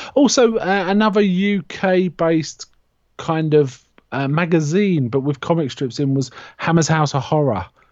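A man with a British accent, fairly high-pitched for a man, at a fairly slow pace with lively intonation. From UK. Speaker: horror podcast co-host. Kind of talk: casual chat about comics.

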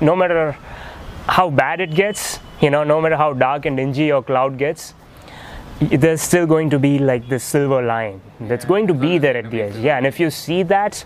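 The speaker talks at a moderate pace with ordinary pitch variation over noticeable background noise. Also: man. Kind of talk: casual interview chat.

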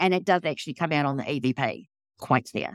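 The delivery moves at a fairly quick pace, and the sound is dry and close with no echo on a very clean recording with a silent background. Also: woman. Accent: New Zealand. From New Zealand (born in England). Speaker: paranormal investigator. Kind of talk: casual interview.

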